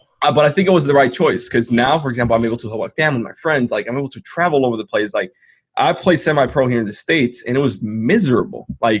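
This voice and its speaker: Over a quiet background, a somewhat breathy voice moves at a very fast pace with lively intonation. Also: man, medium pitch for a man. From Dominican Republic. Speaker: entrepreneur. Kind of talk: interview. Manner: hesitant fillers, many 'like'.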